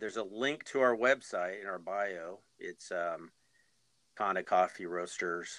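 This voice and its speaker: Against a quiet background, a man speaks fairly slowly at a fairly low pitch. He has a normal speaking voice with ordinary pitch variation. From Arizona. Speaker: coffee roaster and Spanish teacher. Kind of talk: casual interview.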